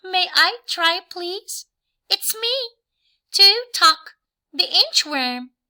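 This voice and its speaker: Putting on a squeaky character voice at an extremely high pitch, a woman speaks very slowly with long, frequent pauses. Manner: enthusiastic.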